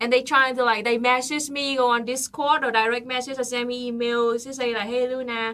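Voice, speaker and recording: Speaking in a raised, projected voice, a woman uses a high pitch. She has a non-native accent and keeps a moderate pace. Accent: non-native speaker. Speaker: political livestream co-host. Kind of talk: casual livestream chat.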